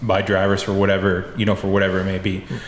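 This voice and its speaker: With an American accent, a man speaks at a fairly low pitch amid noticeable background noise and audible room echo. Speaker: racing photographer. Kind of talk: casual chat.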